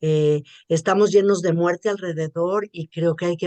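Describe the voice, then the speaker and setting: At a fairly slow pace, a woman with a fairly low pitch speaks in a dry, close sound with no echo. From Mexico. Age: 60s. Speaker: journalist and writer. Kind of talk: interview.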